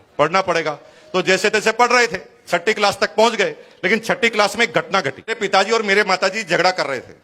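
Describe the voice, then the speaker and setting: A raised, projected voice at a moderate pace with ordinary pitch variation, over noticeable background noise. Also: man, high pitch for a man. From Rajasthan, India (Bhilwara). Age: 50s. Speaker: network marketing speaker. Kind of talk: motivational talk.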